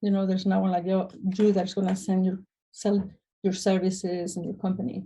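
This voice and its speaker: With a Spanish accent, a woman speaks at a fairly quick pace in a monotone, flat intonation. Her medium-pitched voice is dark, mellow and somewhat breathy. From Spain. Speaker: restoration business owner. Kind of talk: interview. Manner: hesitant, many fillers.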